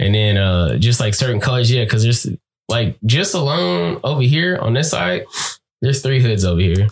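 Speaking at a moderate pace, a man with a medium pitch sounds somewhat breathy, with lively intonation and very even loudness. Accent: American. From California. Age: 20s. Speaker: podcast co-host. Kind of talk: casual chat.

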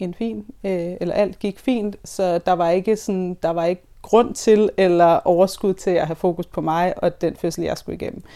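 The voice has a dark, mellow tone on a very clean recording with a silent background. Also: woman. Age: 30s. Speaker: birth worker. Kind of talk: interview about personal experience. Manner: halting, many fillers.

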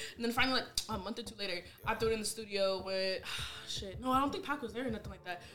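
Over noticeable background noise, a woman speaks very fast with a fairly high pitch and ordinary pitch variation. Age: 20s. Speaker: guest. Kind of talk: casual chat.

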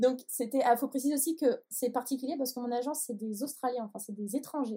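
Her voice is a dark, mellow tone, and the woman's pitch varies in an ordinary way. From Paris. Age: 20s. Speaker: photographer. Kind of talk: interview.

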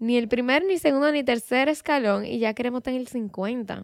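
The recording is very clean, with a silent background. A woman speaks in a high pitch with ordinary pitch variation. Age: 20s. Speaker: podcast host. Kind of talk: solo podcast monologue. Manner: casual, conversational.

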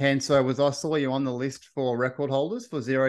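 A man with a medium pitch speaks against a quiet background. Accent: Australian. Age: 30s. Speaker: podcast host. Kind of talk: interview.

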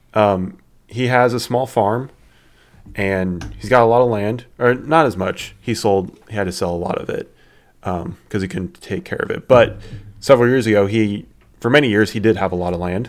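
A man with an American accent and a normal speaking voice, fairly low in pitch, with ordinary pitch variation at a moderate pace, on a very clean recording with a silent background. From southern Indiana. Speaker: podcast co-host. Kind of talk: casual chat.

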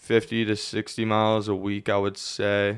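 On a very clean recording with a silent background, a man with a Pennsylvania accent speaks at a fairly low pitch with monotone, flat intonation. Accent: Pennsylvania American. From Pennsylvania, Lebanon. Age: 20s. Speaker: ultra runner and college student. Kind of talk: casual interview. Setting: studio.

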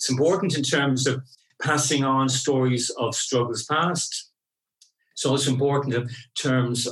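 Monotone, flat intonation from a man with an Irish accent. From Ireland (Clonmel, County Tipperary, Munster). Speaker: queer rights activist. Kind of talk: interview. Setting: on location recording.

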